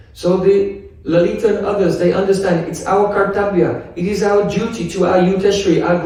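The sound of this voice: The reading voice here is unforced.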